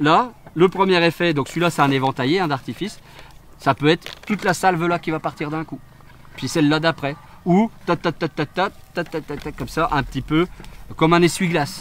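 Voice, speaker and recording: Long, frequent pauses break up a man's fairly high-pitched speech, with noticeable background noise behind him. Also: ordinary pitch variation, moderate pace. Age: 40s. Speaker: fireworks technician. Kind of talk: interview explaining his work on site. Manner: hesitant, many fillers.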